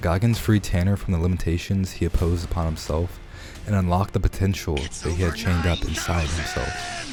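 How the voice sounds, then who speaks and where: Speech at a fairly quick pace with fairly even intonation comes through noticeable background noise. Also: man, very deep, low pitch for a man. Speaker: self-help video creator. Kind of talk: scripted narration.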